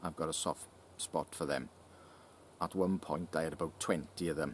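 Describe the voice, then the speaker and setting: A man's very deep, low voice with vocal fry, at a moderate pace. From South Wales (Llanelli). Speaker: YouTuber answering viewer questions about knives. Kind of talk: casual Q&A reading viewer comments.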